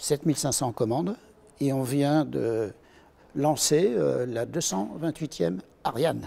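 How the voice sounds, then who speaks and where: Here a man speaks at a medium pitch with lively intonation. His pace is very slow. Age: 60s. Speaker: retired pilot and aircraft engineer. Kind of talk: interview answers. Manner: hesitant, many fillers.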